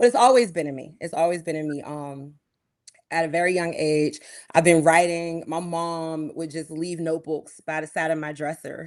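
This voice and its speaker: The voice has an American accent and fairly even intonation at a moderate pace. Its loudness swings a lot. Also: woman, fairly low pitch for a woman. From Pittsburgh, Pennsylvania, US. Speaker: musician. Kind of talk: interview.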